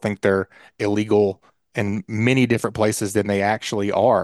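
Against a quiet background, a man with a fairly low pitch and fairly even intonation is heard in a dry, close sound with no echo. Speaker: podcast co-host, hunter. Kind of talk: casual chat.

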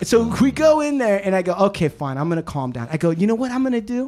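Over music in the background, a man with an American accent talks at a very fast pace, his high pitch moving in very wide swings. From Southern California. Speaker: podcast co-host. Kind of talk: casual chat. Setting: hotel room recording.

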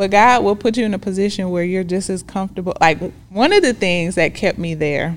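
In an American accent, a woman with an unremarkable speaking voice talks at a moderate pace and a fairly low pitch. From Decatur, Georgia, US South. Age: 40s. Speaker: love coach. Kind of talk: interview testimony.

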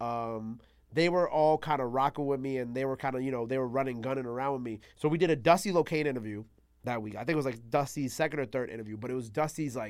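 A man with a New York accent at a medium pitch, ordinary pitch variation, a very fast pace, and a very clean recording against a silent background. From New York City (Queens and Long Island). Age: 20s. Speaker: radio host and platform founder. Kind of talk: casual interview chat.

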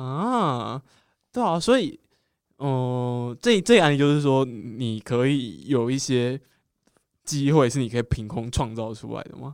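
Talking at a fairly slow pace in an ordinary speaking voice, a man keeps a medium pitch with ordinary variation, while his loudness swings a lot. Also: very clean recording, silent background. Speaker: podcast host. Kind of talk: casual chat.

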